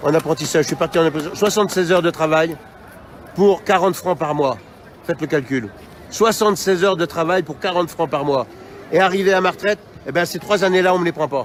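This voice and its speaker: Amid noticeable background noise, a man with a high pitch talks at a very fast pace in an animated tone, with ordinary pitch variation and long, frequent pauses. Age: 60s. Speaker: protester. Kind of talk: street interview.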